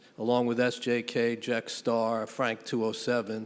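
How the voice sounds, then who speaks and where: In a New York accent, a man talks at a fairly slow pace. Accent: New York City. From New York City, Riverdale (Bronx). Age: 60s. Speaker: panel moderator. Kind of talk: panel discussion.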